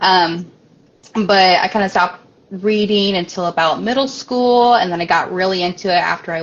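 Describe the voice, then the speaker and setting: Noticeable background noise sits behind a woman with a fairly low pitch. She talks at a moderate pace with fairly even intonation. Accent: American. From US Midwest, Springfield, Illinois. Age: 20s. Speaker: author. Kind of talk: interview. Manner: hesitant, many fillers.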